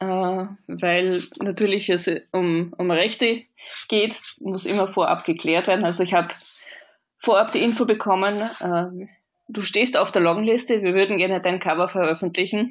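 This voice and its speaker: Speaking fairly slowly with long, frequent pauses, a woman at medium pitch has a slight Austrian accent. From Austria, Vienna. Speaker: author. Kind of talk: interview.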